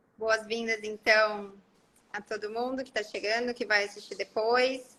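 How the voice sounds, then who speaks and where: A woman speaks at a moderate pace in a fairly high pitch, her tone bright and sharp and her intonation fairly even. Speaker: health content creator. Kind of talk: casual live stream chat. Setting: live stream.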